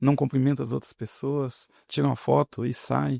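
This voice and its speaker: A soft-spoken man's dark, mellow voice at a medium pitch, with very wide pitch swings and a fairly slow pace, dry and close with no echo, on a very clean recording with a silent background. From Paraná, Brazil. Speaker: politician. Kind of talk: podcast interview.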